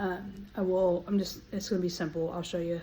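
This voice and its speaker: A woman of medium pitch speaks at a moderate pace with fairly even intonation. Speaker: home cooking vlogger. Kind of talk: casual vlog talk. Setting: outdoors in garden. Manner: halting; quiet.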